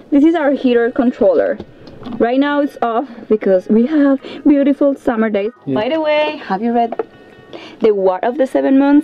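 A woman talks at a moderate pace. Faint music plays in the background. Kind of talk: casual vlog tour. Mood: playful and cheerful. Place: home room. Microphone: camera far.

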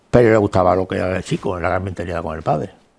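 Ordinary pitch variation marks a man's delivery. He gets through his words very fast. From Andalusia, Marchena (Seville province); Andalusia, Spain. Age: 80s+. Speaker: retired textile businessman; interview guest. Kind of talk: interview. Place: studio. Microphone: lapel.

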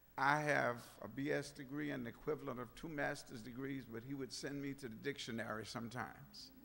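A man with vocal fry and a bright, sharp tone, speaking at a fairly quick pace with fairly even intonation and hardly any pauses. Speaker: speaker. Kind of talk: eulogy. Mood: warm, reminiscing. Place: church. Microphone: podium.

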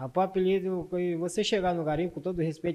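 A man with a high pitch and a dark, mellow tone talks at a very fast pace. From Brazil, Maranhão (northeast). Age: 30s. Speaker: defendant, former gold miner. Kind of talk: courtroom testimony. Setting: courtroom with microphone. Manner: soft-spoken. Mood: calm, somewhat guarded. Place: hall. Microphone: handheld.

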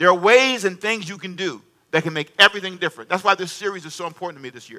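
Against a quiet background, a man with a high pitch and a bright, sharp tone talks at a very fast pace in a raised, projected voice, his animated tone carried by lively intonation. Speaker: preacher. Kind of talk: sermon. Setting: church with congregation. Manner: animated call-and-response preaching, prompting the congregation to answer; emphatic, repeating key phrases. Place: stage. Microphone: headset.

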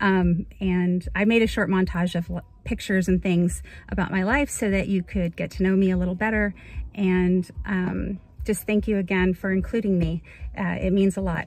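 A woman's somewhat breathy voice at medium pitch, moderately paced, in a monotone, flat delivery with very even loudness and a dry sound with no echo. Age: 40s. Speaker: nurse practitioner and model contest entrant. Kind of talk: casual self-introduction video. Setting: in a car. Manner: halting with many fillers. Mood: warm, upbeat. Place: car. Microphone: phone near.

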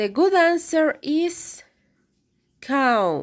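A woman speaks very slowly with a Spanish accent, her pitch swinging very widely. The recording is very clean, with a silent background. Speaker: English teacher. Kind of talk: classroom lesson.

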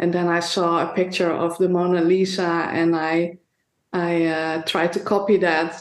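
Speaking with a Dutch accent, a woman at medium pitch talks at a fairly slow pace in a monotone, flat intonation. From Netherlands. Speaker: painter. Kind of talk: interview.

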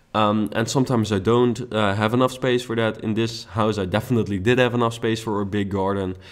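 A man's very fast, monotone, flat delivery at a medium pitch, in a Dutch accent. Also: hardly any pauses. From Netherlands. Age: young. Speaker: YouTube gaming creator. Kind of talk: gameplay commentary. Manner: casual with many fillers.

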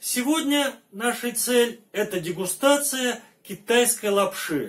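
Talking at a very slow pace, a man keeps his intonation lively. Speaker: travel vlogger. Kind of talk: casual vlog chat. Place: home room.

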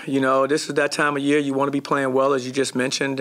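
A man speaks at a very fast pace. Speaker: head basketball coach. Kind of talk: interview answer. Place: hall. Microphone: podium.

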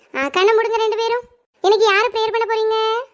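A woman does a cartoonish character voice, squeaky and extremely high in pitch. She talks at a fairly quick pace with fairly even intonation. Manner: warm, patient.

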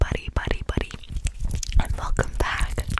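The sound is dry, with no echo. Loud background noise runs underneath. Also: woman. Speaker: ASMR YouTuber. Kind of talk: casual vlog chat. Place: home room. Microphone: studio mic.

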